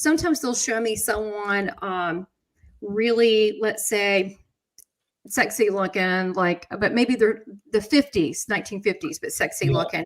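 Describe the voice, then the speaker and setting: A woman speaks with a Southern US accent in a fairly high voice and lively intonation. The recording is very clean, with a silent background. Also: fairly slow pace. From USA. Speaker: psychic medium, talk show host. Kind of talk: casual live chat show talk.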